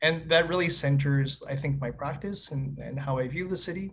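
A man with a Canadian accent talks at a moderate pace and fairly high pitch, using ordinary pitch variation, with audible room echo. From Winnipeg, Manitoba, Canada. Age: 30s. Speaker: city planner. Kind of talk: casual conversation. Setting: video call.

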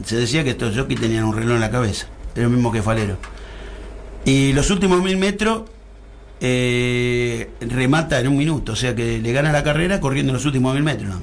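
Talking at a fairly quick pace with lively intonation, a man with a medium pitch is heard amid noticeable background noise and audible room echo. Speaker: horse racing commentator. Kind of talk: casual chat.

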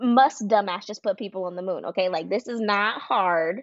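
A woman with an American accent speaks in a plain, everyday voice. Her pitch is fairly high and her pace moderate. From US East Coast. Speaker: podcast co-host. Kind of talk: casual chat.

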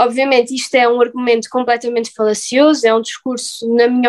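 Speaking very fast, a woman delivers her words in a high pitch with monotone, flat intonation. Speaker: postgraduate student. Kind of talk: casual chat. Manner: formal.

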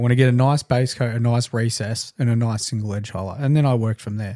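An Australian-accented man talks at a very fast pace with a dark, mellow tone, medium pitch and fairly even intonation. The sound is dry and close with no echo, a very clean recording with a silent background. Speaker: podcast co-host and miniature painting streamer. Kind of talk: casual chat. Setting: live-streamed podcast studio.

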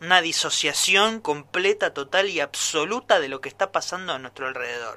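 With hardly any pauses, a man talks at a moderate pace in a high, bright, sharp voice, his intonation lively and his loudness swinging widely. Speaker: radio commentator. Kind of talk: editorial commentary.

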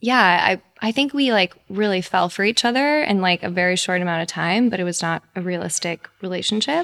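A woman speaks in a normal speaking voice at a medium pitch, with ordinary pitch variation, on a very clean recording with a silent background. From Texas, Iranian family. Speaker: podcast co-host. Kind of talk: casual chat; scripted narration.

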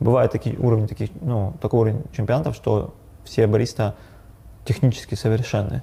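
A man's dark, mellow, somewhat breathy voice at a fairly quick pace, broken by long, frequent pauses. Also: medium pitch for a man, fairly even intonation. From Yekaterinburg, Russia. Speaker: coffee shop owner and barista trainer. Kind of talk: casual interview.

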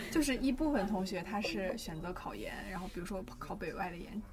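A woman speaks at a moderate pace with ordinary pitch variation, amid noticeable background noise and audible room echo. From China, Xi'an. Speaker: university student of Russian. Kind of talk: casual chat.

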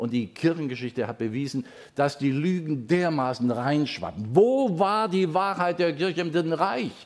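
The man's pitch swings very widely. He keeps to a fairly slow pace. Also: very clean recording, silent background. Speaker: pastor. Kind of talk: sermon. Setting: church service, also streamed.

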